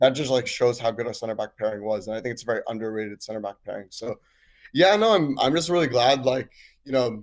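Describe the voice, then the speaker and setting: On a very clean recording with a silent background, a man with an American accent talks very fast at a medium pitch with ordinary pitch variation. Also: big swings in loudness. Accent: American-sounding. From Switzerland. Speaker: caller, football fan. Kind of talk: casual chat.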